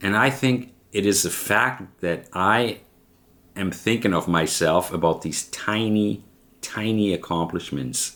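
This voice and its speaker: A man with a German accent, fairly low pitch, and vocal fry, on a very clean recording with a silent background. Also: fairly slow pace. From Germany. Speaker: vlogger. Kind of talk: personal vlog monologue. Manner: halting.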